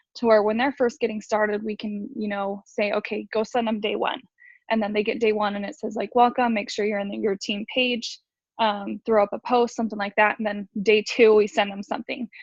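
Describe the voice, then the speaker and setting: Somewhat breathy and fairly high-pitched, a woman with an American accent talks at a fairly quick pace in a monotone, flat delivery. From New York. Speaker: network marketing distributor, former special ed teacher. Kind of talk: casual group video call, sharing tips. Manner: fast.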